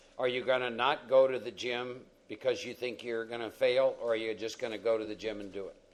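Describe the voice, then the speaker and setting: Speaking with an American accent, a man keeps a moderate pace and medium pitch with ordinary pitch variation. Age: 60s. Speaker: recovery meeting speaker. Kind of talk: Q&A talk at recovery meeting. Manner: animated.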